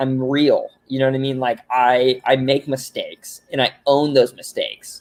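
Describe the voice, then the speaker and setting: His intonation stays monotone and flat throughout. This man talks at a medium pitch and a moderate pace. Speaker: guest on live show. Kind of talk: casual chat.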